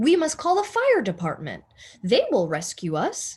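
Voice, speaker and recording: Against a quiet background, a woman uses a put-on character voice at a high pitch. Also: moderate pace. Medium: read story. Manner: blustery, self-assured.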